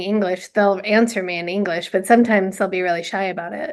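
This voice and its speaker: A woman talks at a very fast pace with fairly even intonation. Her pitch is medium. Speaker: musician. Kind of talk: casual chat.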